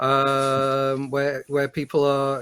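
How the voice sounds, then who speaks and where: A man speaks in a fairly high voice. His pace is very slow. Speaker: podcast panelist. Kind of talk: casual chat. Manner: halting.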